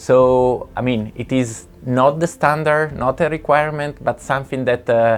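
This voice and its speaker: The speaker has an Italian accent and a fairly slow pace. There are hardly any pauses. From Italy. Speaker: building energy researcher. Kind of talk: interview. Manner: halting.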